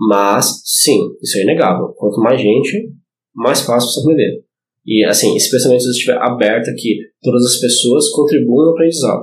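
A normal speaking voice from a man at medium pitch, fairly quick, with ordinary pitch variation. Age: 30s. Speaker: historical fencing instructor. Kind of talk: casual chat. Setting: studio.

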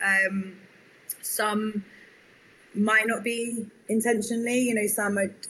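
A woman's fairly high, bright, sharp voice in a southern English accent, very slow and monotone with flat intonation. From southern England, near London. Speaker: tech startup founder. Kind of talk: interview.

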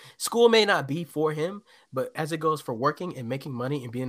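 With an ordinary speaking voice, a man talks at a fairly quick pace with fairly high pitch and lively intonation. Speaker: friend and aspiring content creator. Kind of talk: casual chat. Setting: remote call.

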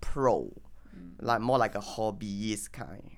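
Someone speaks at a fairly slow pace on a very clean recording with a silent background. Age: 20s. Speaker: podcast host and lecturer. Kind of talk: casual chat.

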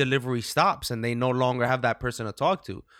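A man with an American accent and an unremarkable speaking voice talks at medium pitch on a very clean recording with a silent background. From New Jersey. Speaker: podcast host. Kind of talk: casual chat, unscripted podcast.

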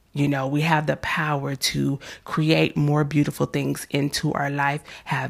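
At a moderate pace, a woman speaks with a very deep, low pitch and vocal fry. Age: 30s. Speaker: self-help podcast host. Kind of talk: motivational monologue. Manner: casual with frequent fillers.

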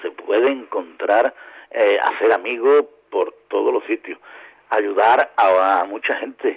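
A man speaks at a very slow pace. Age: 50s. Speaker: radio amateur association president. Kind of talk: interview. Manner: halting.

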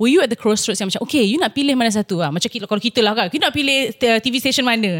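Here is a woman with a plain, everyday voice and a fairly high pitch. Her intonation is lively, and the sound is dry and close with no echo. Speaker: podcast co-host, former reporter. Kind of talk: casual chat.

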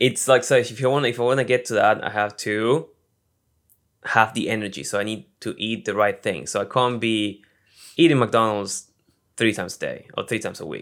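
Fairly quick speech with ordinary pitch variation, on a very clean recording with a silent background. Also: man, medium pitch for a man. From Argentina. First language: Spanish. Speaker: actor and YouTuber. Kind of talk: casual interview.

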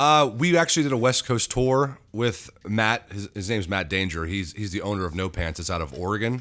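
A man speaks at a fairly quick pace. His pitch is fairly low, with very wide swings. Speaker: band singer and musician. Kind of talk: casual interview chat. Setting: studio, in person. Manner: joking, self-deprecating.

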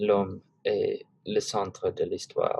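A man speaks with an English accent. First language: English (speaking French). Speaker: student podcast host. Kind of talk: class podcast discussion. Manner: hesitant, many fillers.

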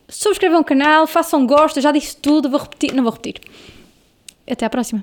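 Keeping a moderate pace, a woman speaks with ordinary pitch variation. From northern Portugal, Amarante. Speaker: podcast host. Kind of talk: casual interview chat. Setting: studio, video podcast.

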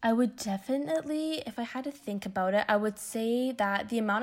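Speaking fairly quickly in a Canadian accent, a woman with a fairly high pitch shows ordinary pitch variation. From Windsor, Ontario, Canada. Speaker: university student. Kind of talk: interview.

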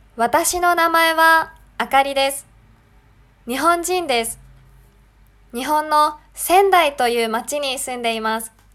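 A woman's high, bright, sharp voice at a very slow pace, with long, frequent pauses and ordinary pitch variation. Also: big swings in loudness. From Japan. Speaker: language teacher. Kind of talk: language lesson podcast.

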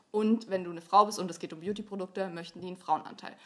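A woman talks in a normal speaking voice at a medium pitch. Her intonation stays fairly even. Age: 20s. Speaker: influencer and student. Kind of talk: casual chat.

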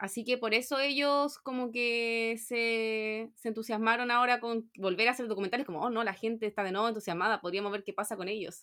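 With a bright, sharp tone and fairly high pitch, a woman speaks fairly quickly with hardly any pauses and fairly even intonation. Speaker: podcast co-host. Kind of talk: casual chat.

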